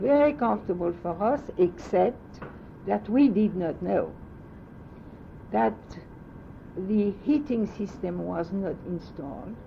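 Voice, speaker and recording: A woman with a French accent speaks very slowly, her pitch swinging very widely between long, frequent pauses. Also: medium pitch for a woman. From France. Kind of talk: oral history interview answer.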